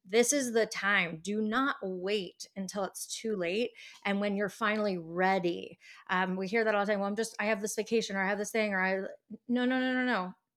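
Using a normal speaking voice, a woman talks at a fairly quick pace with medium pitch and fairly even intonation. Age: 40s. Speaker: nutrition business owner. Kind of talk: casual chat.

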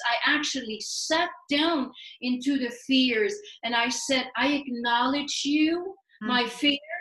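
A woman speaks at a high pitch with ordinary pitch variation and very even loudness. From Sweden. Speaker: life coach. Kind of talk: casual interview. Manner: energetic.

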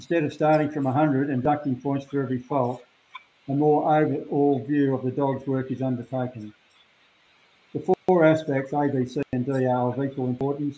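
Speaking with an Australian accent, a man keeps a monotone, flat intonation at a fairly high pitch and moderate pace. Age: 70s. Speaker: shearer and stock dog breeder. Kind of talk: interview. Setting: video call. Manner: halting.

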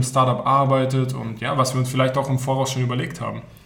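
Fairly quick talking from a man amid audible room echo. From Berlin. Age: 20s. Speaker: student podcast co-host, startup project manager. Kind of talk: casual chat.

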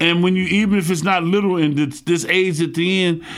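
A gravelly man talks at a moderate pace.

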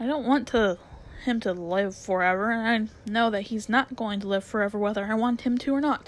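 A natural voice, reading aloud

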